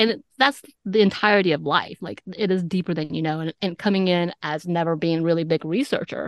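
A woman with an ordinary speaking voice talks fairly quickly at a fairly low pitch, with ordinary pitch variation. The sound is dry and close with no echo, over a quiet background. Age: 40s. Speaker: podcast host and author. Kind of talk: interview.

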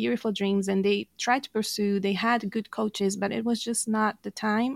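A woman speaks at medium pitch with a Brazilian accent and fairly even intonation. The recording is very clean and dry, close with no echo, over a silent background. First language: Portuguese. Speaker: life coach and podcast co-host. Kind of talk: interview conversation.

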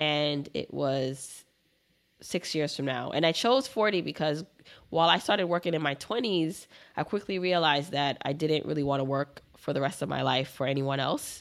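On a very clean recording with a silent background, a woman with an American accent speaks at a moderate pace in a very deep, low pitch with vocal fry and ordinary pitch variation. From Brooklyn, New York. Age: 30s. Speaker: personal finance educator. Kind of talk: interview.

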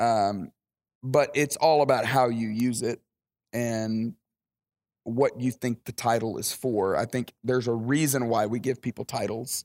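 A man with a Southern US accent speaks at a fairly slow pace and medium pitch with fairly even intonation, the sound dry and close with no echo. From Alabama, US South. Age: 40s. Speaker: pastor. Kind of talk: interview. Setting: at a camp, outdoors by a pool.

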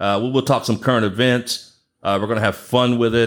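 On a very clean recording with a silent background, an ordinary speaking voice with an American accent keeps a fairly even intonation. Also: man. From Galveston Island, Texas. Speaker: podcast host. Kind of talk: casual chat.

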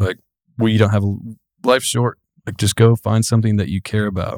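A man with a Tennessee accent speaks at a fairly quick pace in a fairly low pitch, with fairly even intonation. The sound is dry and close with no echo, on a very clean recording with a silent background. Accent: Southern US (Tennessee). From US South, Giles County, Tennessee. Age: 20s. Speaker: excavation business owner. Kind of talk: casual chat.

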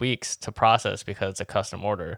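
This is a man with a fairly low pitch and an ordinary speaking voice, using fairly even intonation. The recording is very clean with a silent background. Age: 30s. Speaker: podcast co-host. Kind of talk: casual chat.

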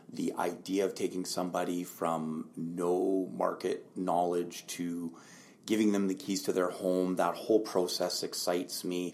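A man with a western Canadian accent, a very deep, low pitch, a fairly slow pace and monotone, flat intonation. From Lower Mainland, British Columbia, Canada. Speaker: realtor. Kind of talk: interview.

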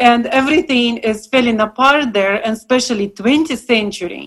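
With a Russian accent, the speaker's pitch varies in an ordinary way. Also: woman. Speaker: paint maker.

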